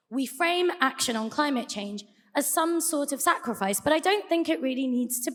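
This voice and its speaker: A woman with a British accent, a high voice and very wide pitch swings. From UK. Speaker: debate speaker. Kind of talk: debate speech.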